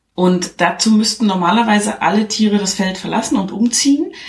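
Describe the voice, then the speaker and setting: A woman's voice is somewhat breathy. Her pitch variation is ordinary. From eastern Germany. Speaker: podcaster. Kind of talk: plot summary; casual chat.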